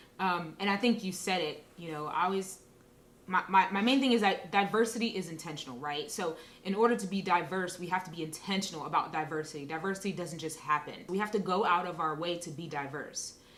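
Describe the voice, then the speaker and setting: Amid noticeable background noise and audible room echo, a woman talks at a fairly quick pace in a fairly low voice with ordinary pitch variation. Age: 30s. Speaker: interview guest sharing experiences of race. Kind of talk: casual interview conversation. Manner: conversational with frequent fillers.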